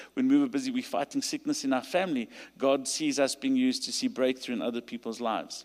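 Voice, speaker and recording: The speaker talks at a fairly quick pace with a South African accent. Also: man. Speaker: pastor. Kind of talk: sermon. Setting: stage with audience.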